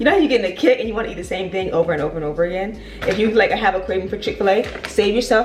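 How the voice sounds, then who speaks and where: A woman with an American accent at a medium pitch, talking at a very fast pace over music in the background. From Virginia, US. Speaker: lifestyle vlogger and real estate agent. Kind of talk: casual vlog monologue. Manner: fast-talking; rambling with many fillers and repetitions.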